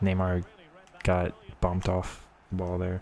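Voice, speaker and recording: Noticeable noise fills the background. Through it comes a man's voice. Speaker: gaming streamer. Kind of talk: live gameplay commentary. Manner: lazy casual.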